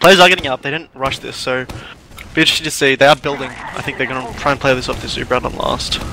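Over noticeable background noise, a man talks very fast at a fairly high pitch with fairly even intonation. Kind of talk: live esports commentary. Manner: measured, analytical, hesitant.

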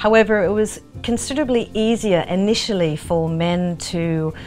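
With faint music behind her, a woman talks with ordinary pitch variation. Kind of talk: interview answer. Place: workshop.

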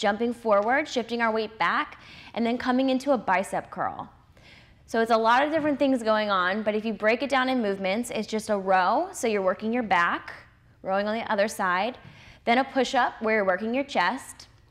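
A woman talks at a fairly quick pace. Her pitch shows ordinary variation. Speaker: fitness trainer. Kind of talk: tutorial. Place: gym. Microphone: lapel.

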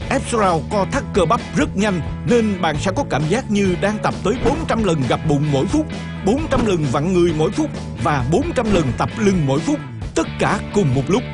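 With music in the background, a man with a high pitch and an upbeat tone speaks at a fairly slow pace, his pitch swinging very widely while his loudness stays very even. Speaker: infomercial narrator. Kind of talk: TV commercial read. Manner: upbeat, persuasive.

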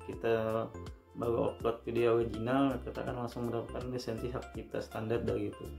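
A man speaks very fast while clear music is heard in the background. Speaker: youtube educator. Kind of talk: tutorial. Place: home room. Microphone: phone near.

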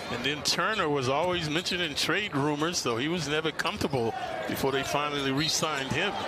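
Over noticeable background noise, a man with a fairly high pitch speaks at a fairly quick pace with very even loudness and ordinary pitch variation. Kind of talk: live commentary. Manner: conversational, analytical color-commentary tone.

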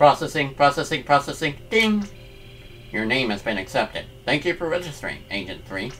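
A put-on character voice at a low-to-middle pitch moves at a moderate pace over clear background noise. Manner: robotic, mechanical.

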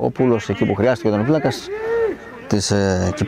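A man speaks over noticeable background noise. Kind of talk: live sports commentary. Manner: rapid-fire, excitable play-by-play, clipped and breathless; raises pitch and volume on goals, repeating the score.

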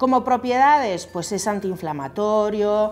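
Speaking at a fairly slow pace, a woman uses a medium pitch, a slightly mellow tone and lively intonation.

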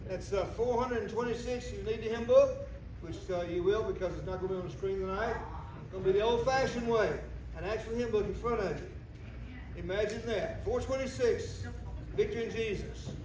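A man speaks at a moderate pace, with noticeable background noise and audible echo in the room. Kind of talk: announcements to congregation. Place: church. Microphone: camera far.

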